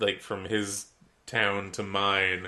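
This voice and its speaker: A man's nasal voice, fairly low in pitch, bright and sharp in tone, at a very slow pace. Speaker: podcast co-host. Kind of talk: casual chat.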